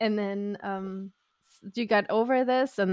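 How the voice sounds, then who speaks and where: A woman speaks in a German accent at a medium pitch. Her pace is very slow. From Germany, Sauerland near Dortmund. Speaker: podcast host. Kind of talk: casual interview chat.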